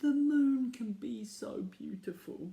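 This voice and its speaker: Putting on a character voice, a man speaks at a high pitch and fairly slow pace with lively intonation. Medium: read story.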